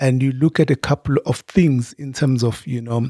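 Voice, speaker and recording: A dry, close sound with no echo carries a somewhat breathy voice. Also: man. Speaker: podcast host. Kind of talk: interview.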